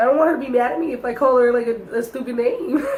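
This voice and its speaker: The speaker is a woman with a high voice. She uses lively intonation. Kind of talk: casual storytime talk to camera.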